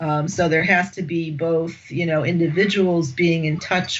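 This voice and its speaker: Noticeable background noise accompanies a woman with an American accent whose fairly low voice stays monotone and flat. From United States. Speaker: executive coach and management academic. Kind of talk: podcast interview.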